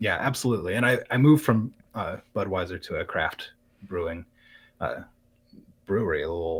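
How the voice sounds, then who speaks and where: In a very clean recording with a silent background, a man speaks at a moderate pace with long, frequent pauses. His fairly low, somewhat breathy voice has lively intonation. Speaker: live streamer and craftsman. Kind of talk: interview. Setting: live-streamed podcast. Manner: calm.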